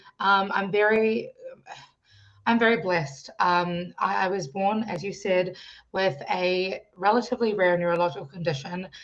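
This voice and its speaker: This woman talks at a medium pitch in a New Zealand accent. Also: ordinary pitch variation, moderate pace. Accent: New Zealand accent when speaking. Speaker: singer-songwriter and youth coach. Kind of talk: interview guest telling life story.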